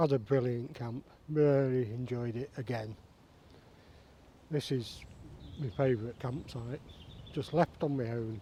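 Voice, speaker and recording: Speaking fairly slowly in a Lancashire accent, a man with a medium-pitched, somewhat breathy, dark and mellow voice keeps a fairly even intonation and leaves long, frequent pauses. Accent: northern English (Lancashire). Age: 60s. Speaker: bushcraft vlogger. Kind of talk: casual vlog talk to camera. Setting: outdoors in woodland.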